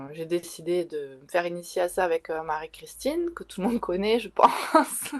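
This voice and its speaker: Over noticeable background noise, the voice moves at a moderate pace with ordinary pitch variation and big swings in loudness. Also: woman, fairly low pitch for a woman. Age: 40s. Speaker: tattoo artist and tarot reader. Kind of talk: interview. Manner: halting, many fillers.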